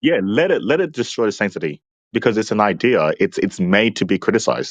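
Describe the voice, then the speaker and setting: Very fast speech with an Australian accent and very even loudness, against a quiet background. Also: man, dry, close sound with no echo. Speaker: debate opponent. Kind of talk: debate.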